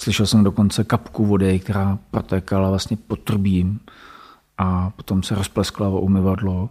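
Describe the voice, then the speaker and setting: A man's dark, mellow voice in a flat monotone at a moderate pace, in a very clean recording with a silent background. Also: fairly low pitch for a man. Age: 40s. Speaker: school principal. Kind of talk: interview, personal story. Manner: hesitant, many fillers.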